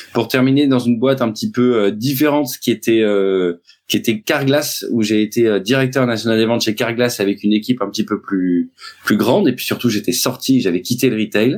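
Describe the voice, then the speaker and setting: A man with a medium pitch and ordinary pitch variation speaks fairly quickly. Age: 40s. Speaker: sales trainer. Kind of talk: interview. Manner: hesitant, many fillers.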